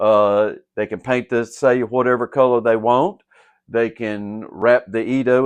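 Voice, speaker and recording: At a fairly slow pace, a man speaks with a Southern US accent, a medium pitch and fairly even intonation. The sound is dry and close with no echo, over a quiet background. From Southern United States. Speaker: gem cutter and sword polisher. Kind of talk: casual talk to camera. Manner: casual, hesitant.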